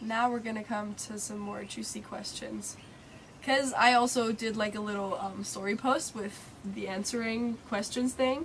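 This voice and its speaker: An unremarkable speaking voice from a woman, fairly high in pitch, with fairly even intonation, big swings in loudness, and a moderate pace. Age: 20s. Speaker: vlogger, co-host of travel Q&A. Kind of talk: casual chat.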